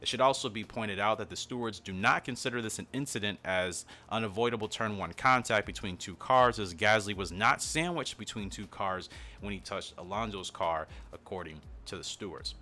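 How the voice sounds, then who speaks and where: A man with a fairly low pitch, ordinary pitch variation and a fairly quick pace, with music in the background. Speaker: F1 commentary YouTuber. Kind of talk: commentary video. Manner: fast.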